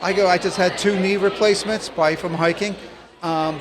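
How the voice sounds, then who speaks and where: There is noticeable background noise. A man speaks at a high pitch with fairly even intonation. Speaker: long-distance hiker. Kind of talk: interview. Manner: fast; halting.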